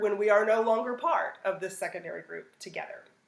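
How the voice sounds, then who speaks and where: A woman with a fairly high pitch, over noticeable background noise. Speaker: teacher. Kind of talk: lecture. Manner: animated.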